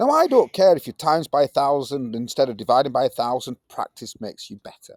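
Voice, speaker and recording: A man with a Yorkshire accent is heard in a very clean recording with a silent background and a dry, close sound with no echo. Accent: broad Yorkshire. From Yorkshire, northern England. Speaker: science teacher. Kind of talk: classroom lesson. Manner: casual, energetic.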